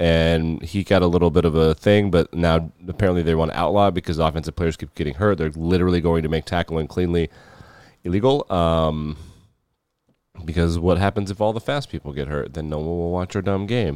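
A man speaks in a very deep, low voice. He moves at a fairly quick pace with ordinary pitch variation. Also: dry, close sound with no echo. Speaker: sports podcast host. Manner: fast talker.

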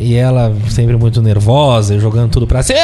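Room echo and noticeable background noise surround a man speaking at a moderate pace. His tone is animated. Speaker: podcast host. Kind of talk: casual chat.

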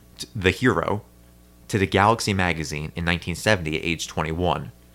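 A man's very deep, low voice with lively intonation at a fairly quick pace. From New Jersey. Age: 30s. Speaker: podcast host. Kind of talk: casual chat.

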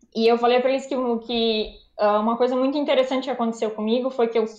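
Fairly high in pitch, this woman has a plain, everyday voice with fairly even intonation. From Brazil. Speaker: anesthesiologist. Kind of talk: casual interview.

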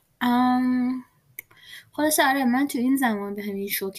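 A woman's speech shows ordinary pitch variation and moves at a moderate pace. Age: 20s. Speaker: podcast host. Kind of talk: casual monologue. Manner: hesitant.

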